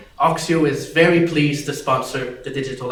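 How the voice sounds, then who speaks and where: A man at a moderate pace and a fairly high pitch, amid noticeable background noise and audible room echo. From Quebec City. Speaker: tech company co-founder. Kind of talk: conference speech.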